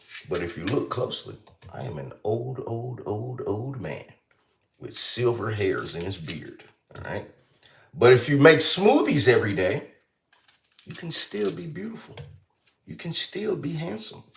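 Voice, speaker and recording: With an animated tone, a man talks with big swings in loudness and long, frequent pauses. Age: 30s. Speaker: livestreamer, healthy lifestyle content creator. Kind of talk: casual live stream chat. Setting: kitchen.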